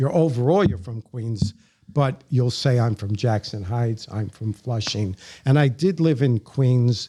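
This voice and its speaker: Speaking fairly slowly with a New York accent, a man uses a medium-pitched, somewhat breathy voice with a dark, mellow tone and lively intonation, recorded dry and close with no echo. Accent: New York accent, others notice it. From New York City, the Bronx. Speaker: podcast guest. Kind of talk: interview, casual chat.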